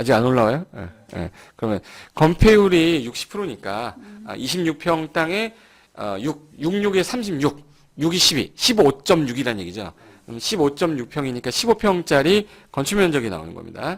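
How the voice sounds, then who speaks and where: Big swings in loudness and very wide pitch swings mark a man's fairly high voice. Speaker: real estate law lecturer. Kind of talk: lecture. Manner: fast.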